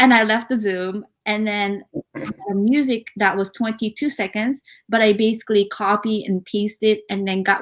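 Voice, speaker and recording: With a Japanese accent, a woman speaks at a moderate pace in a medium pitch. Her intonation is fairly even on a very clean recording with a silent background. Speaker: author, actress and model. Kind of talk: interview. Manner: many fillers and hesitations.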